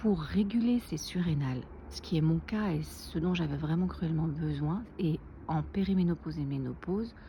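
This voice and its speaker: A soft-spoken woman in a room with audible echo. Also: moderate pace. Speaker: naturopath and wellness vlogger. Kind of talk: casual vlog tutorial. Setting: outdoors.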